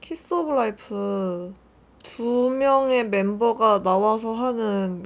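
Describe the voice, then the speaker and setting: In a very clean recording with a silent background, a woman talks at a fairly high pitch with ordinary variation. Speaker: beauty youtuber. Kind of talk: makeup tutorial chat. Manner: casual, chatty.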